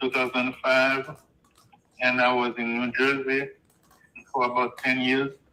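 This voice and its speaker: Speaking at a fairly slow pace, a man with a Haitian accent holds a monotone, flat intonation. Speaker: homeowner. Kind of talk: phone conversation.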